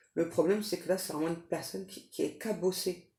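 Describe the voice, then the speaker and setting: A woman is soft-spoken at a fairly low pitch. Her intonation stays fairly even. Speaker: tarot reader, psychic medium. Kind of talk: tarot reading. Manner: hesitant, many fillers.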